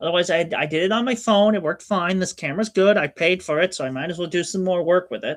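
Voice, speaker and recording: A loud, animated man with a high pitch, talking at a very fast pace with hardly any pauses. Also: ordinary pitch variation. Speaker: streamer. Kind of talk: casual chat. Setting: home hobby room, livestream. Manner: loud and animated.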